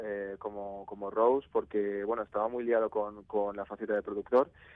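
A man speaks at a moderate pace. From Spain, Navarre (Pamplona). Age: 20s. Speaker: musician and music producer. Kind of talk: radio interview. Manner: halting, many repetitions.

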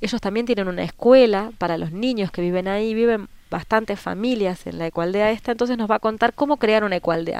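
A woman with an Argentine accent speaks at a fairly quick pace with hardly any pauses. Her medium pitch shows ordinary variation on a very clean recording with a silent background. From Argentina. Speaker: permaculture association organizer. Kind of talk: radio interview.

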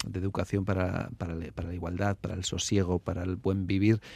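At a fairly quick pace, the voice comes through in a very clean recording with a silent background. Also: man. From Basque Country, Álava. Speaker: anthropologist and social worker. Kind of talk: radio interview. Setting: radio studio. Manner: halting, many repetitions.

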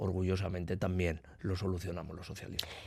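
Against a quiet background, the voice moves at a fairly quick pace. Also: man. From Basque Country, Eibar. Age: 40s. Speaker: politician. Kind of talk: radio interview.

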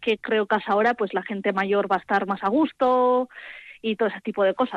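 In a dry, close sound with no echo, a woman with an unremarkable speaking voice talks at a moderate pace with ordinary pitch variation. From Álava, Basque Country. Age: 20s. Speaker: village festival organiser. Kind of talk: interview. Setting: phone call.

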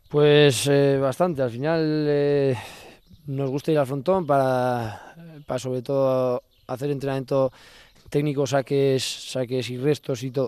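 A man's fairly high voice, flat and monotone, at a fairly slow pace. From Navarre, Spain. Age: 20s. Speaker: professional pelota player. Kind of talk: interview. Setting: on location in his home village. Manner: halting, many fillers.

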